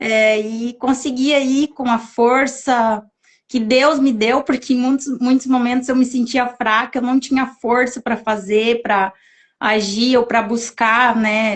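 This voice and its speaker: Very slowly and with very even loudness, a woman speaks in a high pitch with monotone, flat intonation. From southern Brazil (Santa Catarina). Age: 30s. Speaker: interview guest sharing personal story. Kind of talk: testimony in a live interview.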